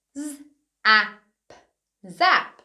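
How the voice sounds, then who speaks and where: Against a quiet background, a woman with a bright, sharp tone makes very wide pitch swings. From United Kingdom. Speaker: early years teacher. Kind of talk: children's phonics lesson. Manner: upbeat, encouraging; slow, clearly enunciated. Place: studio.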